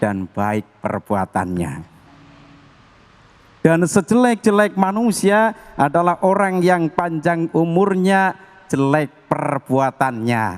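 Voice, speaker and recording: A man speaks very slowly in a fairly high voice, his pitch swinging very widely. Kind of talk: preaching, lecture to an audience.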